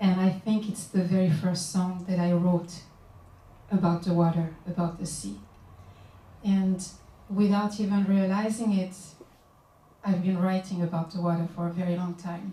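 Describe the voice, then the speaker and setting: With a Guadeloupean accent, a woman speaks at a moderate pace and medium pitch, her dark, mellow tone somewhat breathy and her intonation flat and monotone, broken by long, frequent pauses. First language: Guadeloupean Creole. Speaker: singer-songwriter and author. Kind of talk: book launch talk. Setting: bookshop event with audience.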